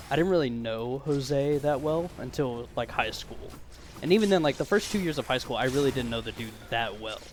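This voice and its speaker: A man with a fairly high pitch, music playing in the background. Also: ordinary pitch variation, fairly quick pace. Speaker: vlogger. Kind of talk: casual monologue rant. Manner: halting, many fillers and repeats.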